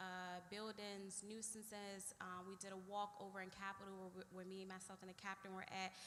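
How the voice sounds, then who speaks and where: The speaker has an American accent and a monotone, flat delivery. There are hardly any pauses, and room echo is audible. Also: woman, medium pitch for a woman, moderate pace. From Washington DC, Trinidad neighborhood. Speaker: police lieutenant. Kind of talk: community meeting presentation. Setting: church community meeting with audience. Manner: loud; direct.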